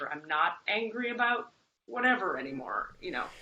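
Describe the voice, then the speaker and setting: A woman with an American accent, a plain, everyday voice, lively intonation and a moderate pace. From Florida. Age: 40s. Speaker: energy healer. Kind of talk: interview.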